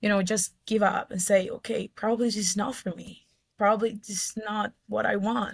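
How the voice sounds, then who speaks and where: Somewhat breathy and medium in pitch, a woman with an Ecuadorian accent speaks at a moderate pace with monotone, flat intonation and big swings in loudness, the sound dry and close with no echo. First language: Spanish. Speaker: mining engineer. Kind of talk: interview.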